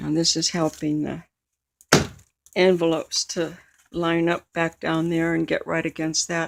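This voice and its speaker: Woman with an American accent at a fairly low pitch and a moderate pace. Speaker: crafter, art journal maker. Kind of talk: craft tutorial narration. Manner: casual, chatty.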